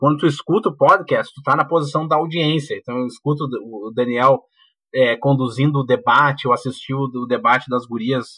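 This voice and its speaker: Here is a man with a plain, everyday voice and a fairly high pitch. He keeps ordinary pitch variation at a moderate pace. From Porto Alegre, southern Brazil. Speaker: university professor. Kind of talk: casual chat.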